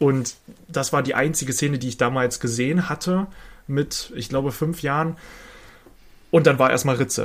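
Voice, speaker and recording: With a fairly high pitch and ordinary pitch variation, a man speaks at a moderate pace, somewhat breathy, leaving long, frequent pauses. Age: 20s. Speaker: podcast co-host, film and games fan. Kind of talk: casual chat.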